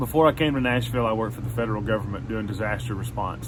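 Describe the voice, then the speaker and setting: This man talks at a very fast pace in a strong Southern US accent. His pitch sits in the medium range. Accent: strong Southern country. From Arkansas. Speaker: songwriter and music career coach. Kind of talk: motivational talk to camera. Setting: outdoors on back porch. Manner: animated.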